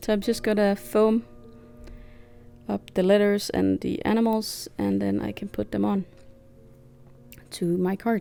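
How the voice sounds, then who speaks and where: With music in the background, the speaker moves at a fairly slow pace and leaves long, frequent pauses. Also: woman. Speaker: craft youtuber. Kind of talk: tutorial. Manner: hesitant, many fillers.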